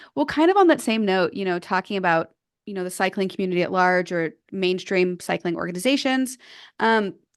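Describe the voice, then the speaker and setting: A woman speaks in an ordinary speaking voice at a medium pitch, with lively intonation and a fairly quick pace against a quiet background. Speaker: podcast co-host. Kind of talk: podcast interview question.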